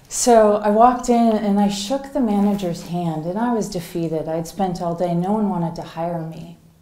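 The speech comes at a fairly slow pace. Room echo is audible. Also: woman. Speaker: keynote speaker. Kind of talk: storytelling keynote talk. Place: hall. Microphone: headset.

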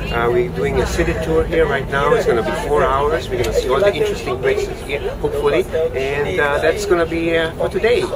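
There is loud background noise behind the speaker. A man talks at a very fast pace. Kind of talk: casual vlog chat. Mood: cheerful, upbeat. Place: bus.

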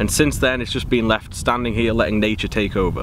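The voice belongs to a man, and the sound is dry with no echo. Light background noise sits underneath. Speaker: urban explorer vlogger. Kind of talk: casual vlog chat. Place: open country. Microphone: phone near.

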